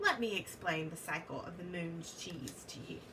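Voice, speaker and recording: Against loud background noise, a woman puts on a character voice with a fairly low pitch. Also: moderate pace. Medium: read story. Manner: friendly, cheerful.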